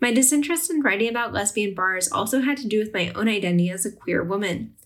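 A fairly high-pitched woman's voice, very fast, with lively intonation. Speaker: podcast host and food historian. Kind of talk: interview podcast.

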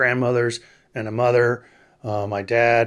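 In a very clean recording with a silent background, a man with a normal speaking voice and an American accent talks at a medium pitch and a fairly slow pace. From Texas. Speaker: allergist. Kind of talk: interview.

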